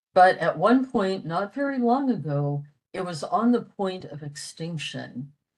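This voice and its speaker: Somewhat breathy and fairly low in pitch, this woman's voice carries lively intonation. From US, western Pennsylvania. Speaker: retired medical technologist, language enthusiast presenter. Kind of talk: presentation. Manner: hesitant with fillers.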